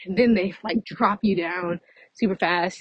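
A woman's somewhat breathy, medium-pitched voice with ordinary pitch variation, in a dry, close sound with no echo. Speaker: podcaster. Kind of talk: casual monologue. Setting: outdoors, walking. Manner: fast.

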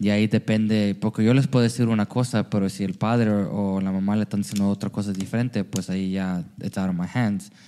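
A man talks fairly quickly with hardly any pauses. His tone is dark and mellow, his intonation fairly even. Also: fairly low pitch for a man, very clean recording, silent background. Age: 30s. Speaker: church youth leader. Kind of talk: casual chat.

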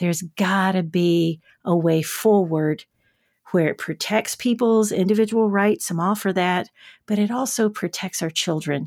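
A woman speaks at a fairly slow pace with a Southern US accent, her medium pitch showing ordinary variation, on a very clean recording with a silent background and a dry, close sound with no echo. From rural West Tennessee, US South. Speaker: children's TV host and educator. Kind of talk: interview. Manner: animated.

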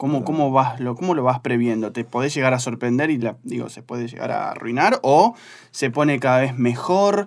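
A man speaks in a plain, everyday voice at a medium pitch and a fairly quick pace, with ordinary pitch variation. His loudness swings widely on a very clean recording with a silent background. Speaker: beer magazine journalist. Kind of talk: casual interview.

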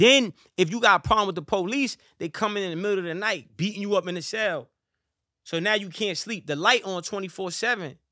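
Over a silent background in a very clean recording, a man talks at a fairly quick pace in a raised, projected voice, high-pitched, with ordinary pitch variation. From US, New York (Harlem). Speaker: rapper, boxer and motivational speaker. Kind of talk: casual chat. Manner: animated.

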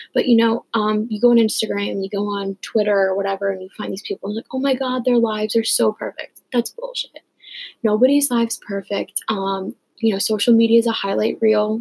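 Recorded dry and close with no echo, a woman talks fairly quickly in a fairly high pitch with monotone, flat intonation. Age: 20s. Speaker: podcast host and college student. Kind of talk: casual solo talk.

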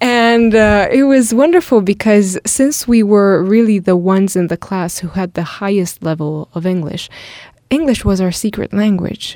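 At a moderate pace, a woman with an Italian accent speaks in a dark, mellow tone at a medium pitch with ordinary variation. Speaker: podcast co-host. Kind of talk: casual conversation podcast. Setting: small studio.

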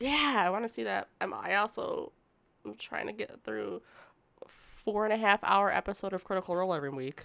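A woman talks at a fairly quick pace in a playful tone on a very clean recording with a silent background. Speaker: podcast co-host. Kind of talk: casual chat. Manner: playful, laughing.

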